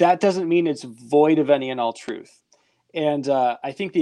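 Against a quiet background, a man's fairly high, dark, mellow voice moves with ordinary pitch variation. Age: 30s. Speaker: podcast host. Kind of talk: casual chat.

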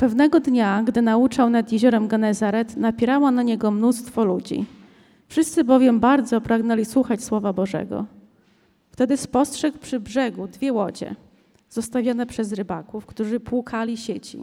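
Using an ordinary speaking voice, a woman speaks at a moderate pace. Her pitch is fairly high and her intonation fairly even. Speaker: scripture reader. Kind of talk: reading aloud. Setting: church.

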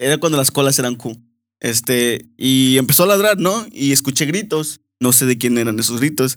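This man has a plain, everyday voice, medium in pitch, with lively intonation and a moderate pace. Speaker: host's brother, guest. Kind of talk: casual chat.

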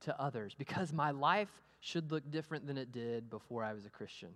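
Using a Texan accent, a man with a fairly high pitch speaks at a moderate pace in an animated tone with lively intonation. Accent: Texan American. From US, Amarillo, Texas. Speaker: pastor. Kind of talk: sermon. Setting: church.

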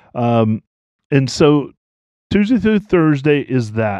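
The background is quiet as a man speaks with an American accent. His tone is dark and mellow, and his pace very slow. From US South. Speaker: podcast host. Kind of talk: casual chat.

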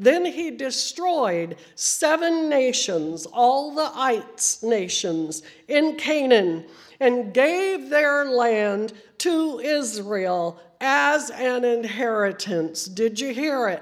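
Squeaky and high-pitched, a woman speaks at a very slow pace with very wide pitch swings. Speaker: preacher. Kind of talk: sermon. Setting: church.

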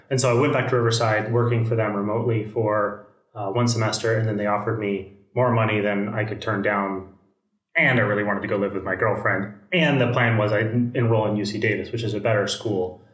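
A man with a fairly low pitch speaks at a very fast pace with fairly even intonation. Audible room echo surrounds his voice. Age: 30s. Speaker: software engineer. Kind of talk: casual chat.

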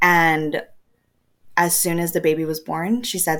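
A woman with an American accent talks at a moderate pace and a fairly low pitch. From Texas, El Paso. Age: 20s. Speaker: surrogate and stay-at-home mom. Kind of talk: casual interview. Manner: hesitant, many fillers.

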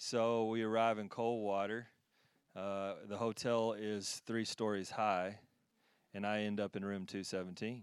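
On a very clean recording with a silent background, a man with a fairly low pitch and an American accent speaks at a fairly slow pace in a monotone, flat intonation. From Texas. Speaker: ministry team member, former chiropractor. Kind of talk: prophetic words and testimony. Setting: church stage with audience.

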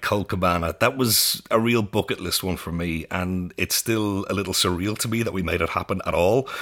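The speaker has an Irish accent and moves at a moderate pace. There are hardly any pauses, and the pitch variation is ordinary. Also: man. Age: 30s. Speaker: podcast host and theatre director. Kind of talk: interview. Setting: studio.

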